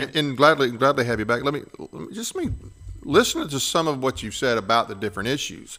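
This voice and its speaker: A man with a bright, sharp tone and medium pitch talks at a fairly quick pace with lively intonation, vocal fry and big swings in loudness. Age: 60s. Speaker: podcast host, veteran. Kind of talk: interview.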